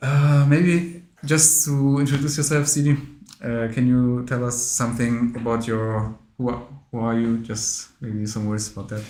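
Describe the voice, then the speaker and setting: Over noticeable background noise and audible room echo, a man of medium pitch speaks with a non-native accent at a moderate pace and ordinary pitch variation. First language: not English. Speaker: interviewer at Islamic education association. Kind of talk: interview. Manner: halting, many fillers.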